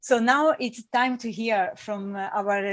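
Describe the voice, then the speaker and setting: In an Italian accent, a somewhat breathy voice comes through on a very clean recording with a silent background. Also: woman. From Italy. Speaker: panel chair, climate advocacy director. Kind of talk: moderating a conference panel. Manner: halting, with restarts and fillers.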